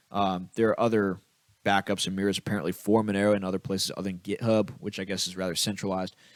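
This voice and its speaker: On a very clean recording with a silent background, a man with a fairly low pitch talks very fast in a flat monotone. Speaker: crypto podcast host. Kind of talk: solo commentary reading posts.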